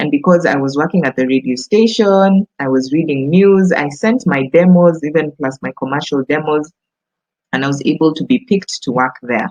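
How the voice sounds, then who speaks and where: A woman's very deep, low voice with lively intonation, a moderate pace and a Kenyan accent. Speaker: voice actor. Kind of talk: casual talk to camera.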